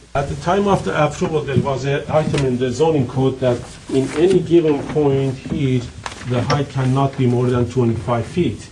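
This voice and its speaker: At a moderate pace, a man speaks at a medium pitch with ordinary pitch variation, with noticeable background noise behind him. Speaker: architect presenting to a design review board. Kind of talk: public meeting presentation. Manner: halting, with fillers.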